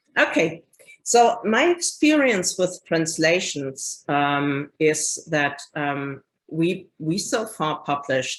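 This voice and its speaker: A woman with a German accent speaks at a very slow pace. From Germany. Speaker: publisher. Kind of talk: presentation. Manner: halting.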